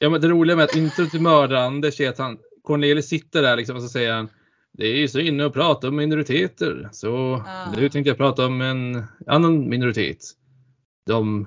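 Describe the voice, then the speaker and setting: A man speaks at a fairly quick pace in a normal speaking voice. His pitch is medium, with ordinary pitch variation. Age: 20s. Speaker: podcast co-host. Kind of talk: casual chat.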